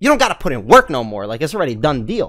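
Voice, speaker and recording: A man's voice has a bright, sharp tone. The background is quiet. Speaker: live streamer. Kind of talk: casual storytelling to stream chat. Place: home room. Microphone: studio mic.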